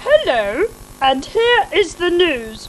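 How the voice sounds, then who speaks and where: A put-on character voice at an extremely high pitch, with very wide pitch swings and clear background noise. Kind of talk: formal. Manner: crisp, announcer-like.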